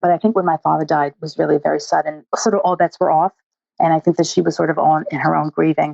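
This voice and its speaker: In a very deep, low voice with vocal fry, a woman talks at a very fast pace. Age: 60s. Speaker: eating disorder dietitian. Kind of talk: interview.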